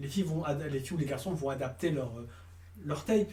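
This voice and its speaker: A man's somewhat breathy voice has a dark, mellow tone, with audible room echo around it. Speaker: casting director. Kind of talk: interview. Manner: fast; halting.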